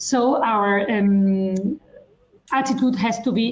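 At medium pitch, a woman speaks in a somewhat breathy voice with ordinary pitch variation. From Spain. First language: Spanish or Catalan. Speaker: lawyer. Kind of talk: panel discussion. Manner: formal.

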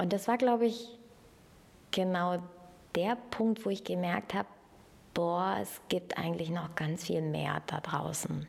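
With long, frequent pauses, a woman speaks very slowly in a fairly low pitch, her intonation lively. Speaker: former student. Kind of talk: recorded interview.

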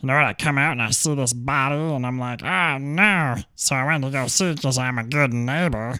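A man speaks in a put-on character voice with a nervous tone, at a medium pitch and a fairly quick pace with hardly any pauses, on a very clean recording with a silent background. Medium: actual play. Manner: rambling, nervous, pleading.

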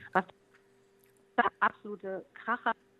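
At a fairly slow pace, a woman speaks in a medium pitch with a dry, close sound and no echo. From East Frisia, northern Germany. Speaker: musician. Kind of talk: interview.

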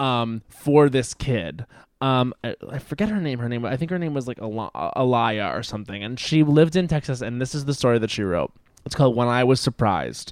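Recorded very cleanly with a silent background, the sound is dry and close with no echo. A man with an American accent and a plain, everyday voice speaks at a medium pitch, with lively intonation and a fairly quick pace. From Long Island, New York. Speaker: comedian. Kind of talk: casual interview.

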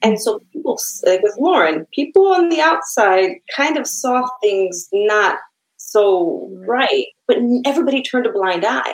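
Speaking at a fairly slow pace with a Chicago accent, a woman keeps a high pitch and very wide pitch swings. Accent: Chicago American English. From Chicago, US Midwest. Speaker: author and poet. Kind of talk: casual interview chat.

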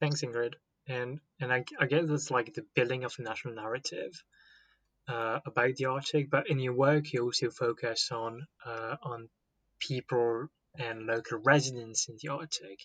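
A man speaks in a normal speaking voice at medium pitch and a moderate pace, with fairly even intonation and a dry, close sound with no echo. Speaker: podcast host. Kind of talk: interview.

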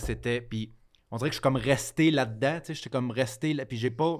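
A man with a Quebec accent speaks at a moderate pace and a medium pitch, with fairly even intonation. The recording is very clean, with a silent background. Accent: Québécois French. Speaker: comedian. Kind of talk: casual chat.

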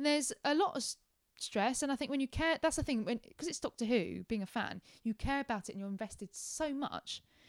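In an English accent, a woman speaks at a high pitch and a fairly quick pace. The sound is dry and close with no echo, in a very clean recording with a silent background. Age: 20s. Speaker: former digital marketing manager and fan presenter. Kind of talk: casual interview chat. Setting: at home in her flat.

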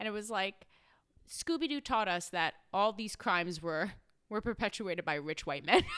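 A woman speaks in an unremarkable speaking voice at a medium pitch and a moderate pace, with lively intonation. The recording is very clean, with a silent background. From New York, Brooklyn. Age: 30s. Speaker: clinical social worker. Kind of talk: casual chat.

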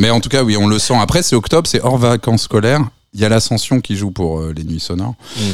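Here a man with a fairly low pitch and lively intonation moves at a fairly quick pace in an ordinary speaking voice. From France, Reims. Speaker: festival director and programmer. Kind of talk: radio interview.

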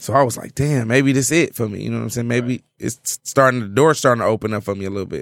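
Speaking at a very fast pace with hardly any pauses, a man uses a medium pitch and ordinary pitch variation. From Detroit. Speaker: comedian. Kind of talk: casual chat.

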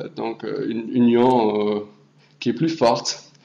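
A man with a German accent speaks very slowly at medium pitch. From Hamburg, Germany. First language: German (speaking French). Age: young. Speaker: European volunteer. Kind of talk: presentation.

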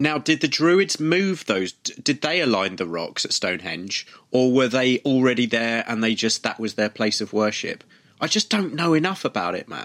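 With an English accent, the speaker moves at a moderate pace through very wide pitch swings. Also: man, medium pitch for a man. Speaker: podcast host. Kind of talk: casual chat. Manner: playful.

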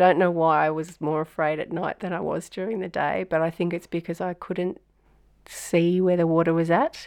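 Fairly low-pitched woman with an Australian accent, dark and mellow in tone, monotone and flat in intonation, at a moderate pace over a quiet background. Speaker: flood survivor, local resident. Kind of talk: personal testimony in an audio walk.

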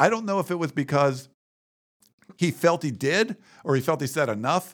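A man with an American accent and an unremarkable speaking voice, at a fairly quick pace with lively intonation, on a very clean recording with a silent background. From Western Pennsylvania. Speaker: sports website publisher. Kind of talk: casual chat. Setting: studio.

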